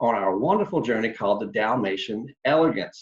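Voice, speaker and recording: A man with a North Carolina accent speaks with very wide pitch swings. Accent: Southern US (North Carolina). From North Carolina, Charlotte area. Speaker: tour company sales representative. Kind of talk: online presentation. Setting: video call.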